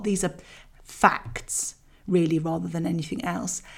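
The speaker uses a somewhat breathy voice with a British accent and keeps a moderate pace. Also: woman. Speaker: parenting podcast host. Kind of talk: scripted solo podcast talk. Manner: chatty, conversational.

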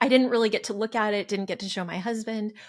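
A woman speaks in an American accent with fairly even intonation. It is an ordinary speaking voice. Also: very clean recording, silent background. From California. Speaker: homeschool mom. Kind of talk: casual interview.

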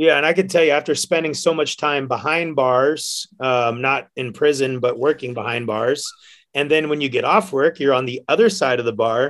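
In an American accent, a man talks at a moderate pace with a plain, everyday voice. His pitch is fairly high, with ordinary pitch variation. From San Francisco Bay Area, California. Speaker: bartender and hiker. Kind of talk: casual chat. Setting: studio.

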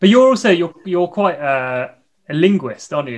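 In a British accent, the man talks fairly quickly. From Britain. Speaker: podcast co-host and fencer. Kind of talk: casual interview chat.

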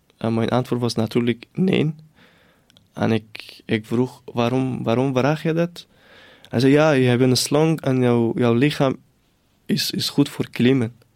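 A man talks at a very slow pace, stopping often for long pauses. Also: medium pitch for a man, ordinary pitch variation. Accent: Persian. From northern Iran, near the Caspian Sea. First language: Persian (speaking Dutch). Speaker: refugee newcomer. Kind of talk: personal testimony. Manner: halting.

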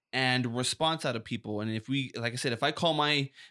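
Loud and animated, a man speaks at medium pitch in a bright, sharp tone with ordinary pitch variation, on a very clean recording with a silent background. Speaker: safety podcast co-host, former EMT. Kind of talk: casual chat.

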